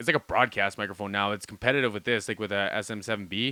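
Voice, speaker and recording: A loud man speaks at a very fast pace in an animated tone. The sound is dry and close, with no echo. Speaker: music reaction youtuber. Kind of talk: casual reaction commentary.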